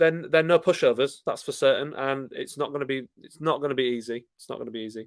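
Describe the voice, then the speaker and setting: A man with a Yorkshire accent speaks fairly high and at a fairly quick pace. The recording is very clean, with a silent background. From Yorkshire, Scarborough. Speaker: football fan YouTuber. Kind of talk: live stream chat reading viewer comments. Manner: casual, hesitant with fillers.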